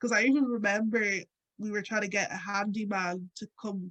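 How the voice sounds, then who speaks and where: With an Irish accent, a woman talks at a moderate pace and medium pitch, her intonation fairly even, in a dry, close recording with no echo. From Ireland. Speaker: radio presenter and activist. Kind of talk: interview conversation. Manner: casual, many fillers.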